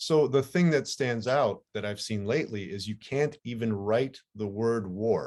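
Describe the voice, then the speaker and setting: Medium-pitched male speech, fairly slow, with pitch moving in an ordinary way. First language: Ukrainian. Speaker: podcast host. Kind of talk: casual interview chat.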